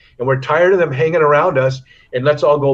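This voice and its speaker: A man talks at a very fast pace with an American accent. His voice is fairly high, somewhat breathy, and fairly even in intonation. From US West Coast. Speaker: retired professional surfer. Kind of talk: interview. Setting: remote call.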